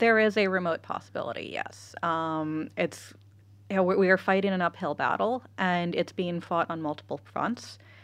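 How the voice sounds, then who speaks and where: Against a quiet background, a woman with an American accent speaks at a fairly low pitch. Her pace is moderate, with ordinary pitch variation. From California, US. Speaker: data privacy expert. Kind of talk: casual interview chat. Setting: studio.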